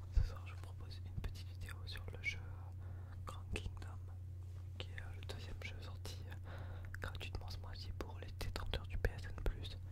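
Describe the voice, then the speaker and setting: At a moderate pace, the speech breaks up with long, frequent pauses. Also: man. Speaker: ASMR and gaming YouTuber. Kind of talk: casual gameplay commentary to camera. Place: home room.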